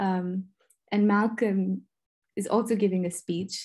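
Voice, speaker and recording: A woman speaks at a medium pitch with a gentle, dark, mellow tone. The background is quiet. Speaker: artist and researcher. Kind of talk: lecture. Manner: gentle and reflective. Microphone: video call.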